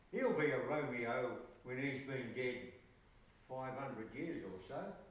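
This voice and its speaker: Fairly slow speech from a man at medium pitch, ordinary pitch variation, noticeable noise in the background. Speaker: poetry reciter. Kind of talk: poetry reading.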